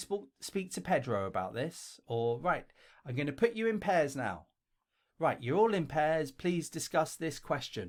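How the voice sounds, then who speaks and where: On a very clean recording with a silent background, a man speaks at a fairly high pitch with very wide pitch swings. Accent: London. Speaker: English teacher and video creator. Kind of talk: tutorial. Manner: casual, conversational.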